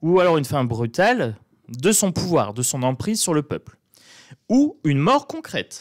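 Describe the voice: Using big pitch swings, a man with a northern French accent talks at a fairly slow pace and a fairly high pitch.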